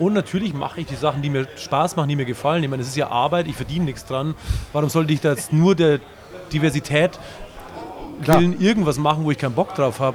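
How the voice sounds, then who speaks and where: A man with a fairly high pitch talks at a very fast pace, breaking into long, frequent pauses over noticeable background noise. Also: ordinary pitch variation. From Bavaria. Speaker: punk band singer and guitarist. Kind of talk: casual interview. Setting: live stream.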